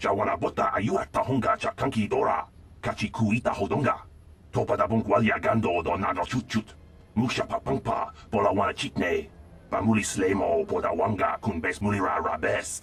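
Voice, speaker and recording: A man performs a put-on character voice at a fairly quick pace. Light background noise can be heard. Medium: video game. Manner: rapid, foreign-sounding.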